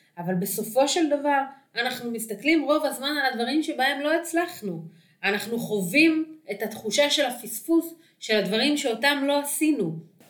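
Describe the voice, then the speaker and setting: A woman speaks at a moderate pace, her high voice carrying lively intonation. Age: 30s. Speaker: dating coach. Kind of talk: solo podcast talk.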